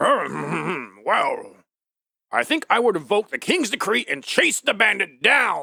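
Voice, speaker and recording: A man's put-on character voice, high-pitched, at a fairly slow pace, with a dry, close sound and no echo. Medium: audio drama. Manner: drowsy, easygoing.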